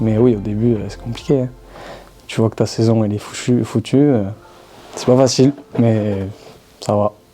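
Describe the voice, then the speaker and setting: A man speaks in a southern French accent at a moderate pace and medium pitch. His intonation is fairly even, and music plays in the background. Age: 20s. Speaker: professional footballer. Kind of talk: interview answer.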